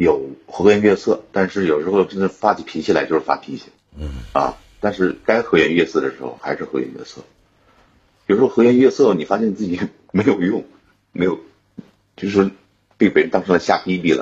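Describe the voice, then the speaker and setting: A man with a fairly low pitch and vocal fry talks at a fairly quick pace with lively intonation, big swings in loudness, and long, frequent pauses. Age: 40s. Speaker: caller. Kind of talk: personal problem call.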